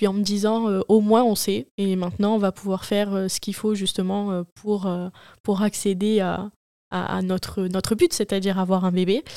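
At a moderate pace and with fairly even intonation, this dark, mellow voice comes through a very clean recording with a silent background and a dry, close sound with no echo. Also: woman. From Marseille, southern France. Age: 20s. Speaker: young mother, podcast guest. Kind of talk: personal testimony in casual interview.

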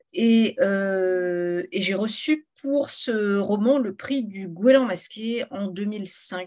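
Very slowly yet with hardly any pauses, a woman speaks in a dark, mellow tone with ordinary pitch variation. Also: medium pitch for a woman. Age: 50s. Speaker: novelist. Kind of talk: author interview.

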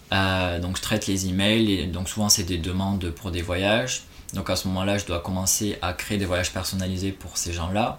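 Against noticeable background noise, a man speaks with a very deep, low pitch in a monotone, flat way at a moderate pace. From France, Toulouse. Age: 20s. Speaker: expatriate travel worker. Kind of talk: casual interview.

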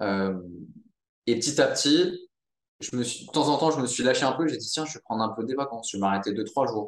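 A man with an unremarkable speaking voice talks at a fairly quick pace. His pitch variation is ordinary. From Monaco. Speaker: entrepreneur, social network founder. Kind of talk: casual interview.

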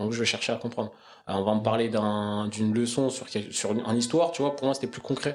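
This man talks at a very fast pace. His pitch is medium with ordinary variation. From Paris suburbs, Essonne (91). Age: 20s. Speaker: sports education project manager. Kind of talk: casual interview. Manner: halting.

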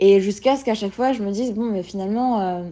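Her pitch is medium for a woman, with ordinary variation. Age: 20s. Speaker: person with an eating disorder sharing her story. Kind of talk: testimony. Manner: halting.

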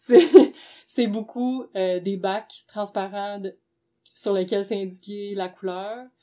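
Her loudness swinging widely, a woman speaks at a very slow pace in a very clean recording with a silent background. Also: medium pitch for a woman, ordinary pitch variation. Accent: Quebec. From Quebec, Gatineau. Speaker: entrepreneur, underwear designer. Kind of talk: casual interview.

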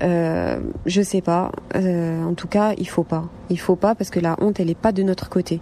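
A woman with a fairly low pitch speaks in a monotone, flat intonation at a moderate pace. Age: 30s. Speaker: survivor of domestic violence, nurse. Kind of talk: testimony.

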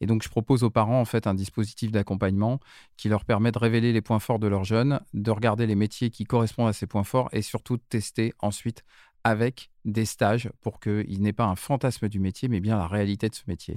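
In an unremarkable speaking voice, a man talks at a fairly quick pace with fairly low pitch and fairly even intonation, the sound dry and close with no echo on a very clean recording with a silent background. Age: 50s. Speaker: start-up founder, former business school director. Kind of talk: casual interview.

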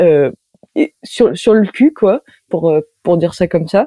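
A woman speaks in a dark, mellow tone at a fairly low pitch with ordinary pitch variation. The sound is dry and close, with no echo. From France, Reims. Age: 20s. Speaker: circus artist. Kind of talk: interview.

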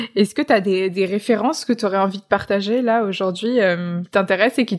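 Speaking with hardly any pauses, a woman uses a normal speaking voice at medium pitch, with ordinary pitch variation. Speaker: podcast host. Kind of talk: interview. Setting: remote recording. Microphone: remote recording, sound quality sometimes poorer.

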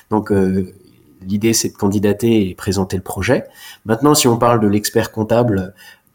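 A man's fairly low voice, with fairly even intonation, holds a moderate pace in a very clean recording against a silent background. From Alsace, France. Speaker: chartered accountant. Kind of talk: interview. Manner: halting.

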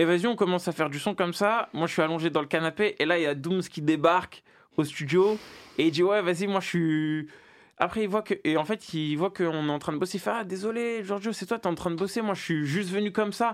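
On a very clean recording with a silent background, a man speaks with a high pitch. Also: ordinary pitch variation, fairly quick pace. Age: 20s. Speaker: rapper. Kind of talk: interview.

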